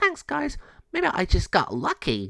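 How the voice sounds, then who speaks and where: The man's pace is fairly slow. He talks in a put-on character voice. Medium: read story.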